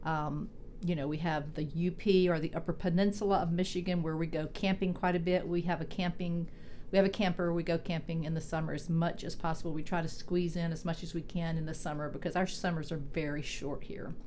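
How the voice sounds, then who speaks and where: A woman with a Southern US accent talks at a fairly quick pace. Her fairly low pitch and dark, mellow tone stay in a monotone, flat intonation. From Mississippi, USA. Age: 60s. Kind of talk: casual talk to camera.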